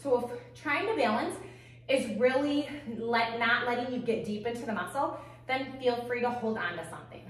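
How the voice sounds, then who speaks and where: Audible room echo surrounds a high-pitched woman talking at a moderate pace. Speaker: fitness instructor. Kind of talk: workout instruction. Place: home room.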